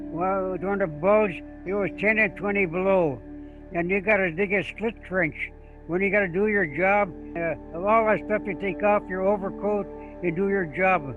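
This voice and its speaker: Music plays behind a man with an American accent and a high pitch. He talks at a moderate pace with ordinary pitch variation. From Michigan, USA. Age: 80s+. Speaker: war veteran. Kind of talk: interview answer.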